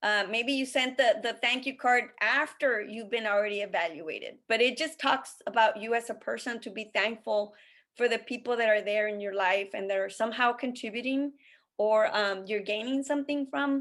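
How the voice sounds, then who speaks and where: On a very clean recording with a silent background, a woman with fairly high pitch talks at a moderate pace with ordinary pitch variation. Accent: non-native. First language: not English. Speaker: college admissions consultant. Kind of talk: interview conversation. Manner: halting.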